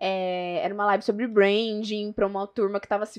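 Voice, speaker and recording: Medium pitch for a woman, fairly even intonation and a moderate pace against a quiet background. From São José do Rio Preto, São Paulo state, Brazil. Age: 20s. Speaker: real estate marketing professional. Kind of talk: casual interview. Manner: talkative.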